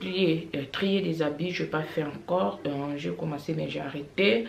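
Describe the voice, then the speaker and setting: A woman with a very deep, low pitch speaks at a fairly slow pace with lively intonation, amid audible room echo and noticeable background noise. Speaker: family vlogger. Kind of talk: casual vlog monologue. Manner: hesitant, many fillers.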